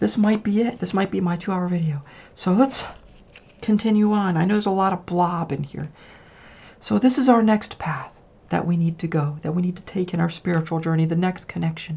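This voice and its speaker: Her voice somewhat breathy, a woman speaks at a very fast pace with medium pitch and ordinary pitch variation. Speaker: tarot reader and witch. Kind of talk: solo tarot reading video. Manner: casual, conversational.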